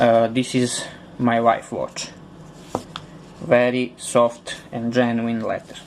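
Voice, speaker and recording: Speaking in a Serbian accent at a very slow pace, this voice holds a monotone, flat intonation with long, frequent pauses over noticeable background noise. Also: man, medium pitch for a man. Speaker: customer reviewer. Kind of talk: product review. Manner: halting, with many fillers.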